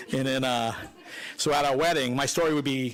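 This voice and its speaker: A man with a Boston accent at a fairly quick pace. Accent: thick Boston. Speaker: son-in-law of the deceased. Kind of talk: eulogy. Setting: funeral home, speaking at microphone.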